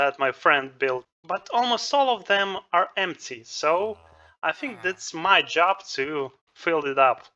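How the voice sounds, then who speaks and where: Very slow speech with a non-native accent against a quiet background. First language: not English. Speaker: gaming youtuber. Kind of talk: gameplay commentary. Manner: halting.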